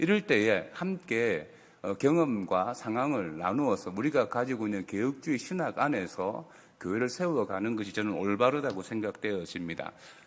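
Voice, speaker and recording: At a moderate pace, the voice swings very widely in pitch on a very clean recording with a silent background. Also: man, medium pitch for a man. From South Korea, Busan. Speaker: pastor. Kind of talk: ministry talk at a worship service.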